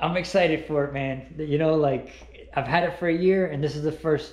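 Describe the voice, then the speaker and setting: A somewhat breathy man with fairly even intonation, in a room with audible echo. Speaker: dirt bike hobbyist vlogger. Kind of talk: casual vlog chat. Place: garage. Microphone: phone near.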